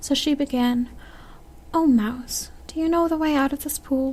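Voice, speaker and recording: Over noticeable background noise, a soft-spoken woman whispers at a moderate pace. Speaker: ASMR reader. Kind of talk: audiobook reading, ASMR sleep reading. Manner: soft-spoken, quiet, whispery.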